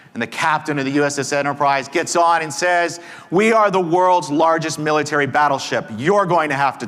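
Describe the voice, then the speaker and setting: At a moderate pace, a man with an American accent speaks in a fairly high pitch. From Texas. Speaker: conference speaker and negotiation teacher. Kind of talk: conference talk.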